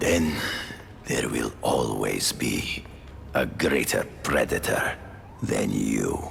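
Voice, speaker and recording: Delivered in a put-on character voice, the speech is very slow with long, frequent pauses, very even loudness, and clear background noise. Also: man. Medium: video game. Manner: cold, measured.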